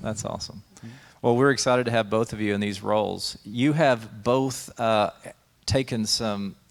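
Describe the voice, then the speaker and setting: Recorded very cleanly over a silent background, a man with a plain, everyday voice talks at a moderate pace and medium pitch, keeping his intonation fairly even. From Texas, Dallas area. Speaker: pastor and show host. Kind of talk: interview conversation.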